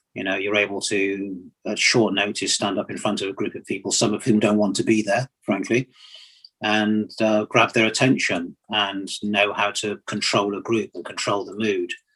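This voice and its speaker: In a British accent, a man talks at a moderate pace with a fairly low pitch, a monotone, flat intonation and a bright, sharp tone. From England and Nigeria (London-born, Nigerian father). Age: 60s. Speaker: retired engineering and transport executive. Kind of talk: interview on leadership and life story.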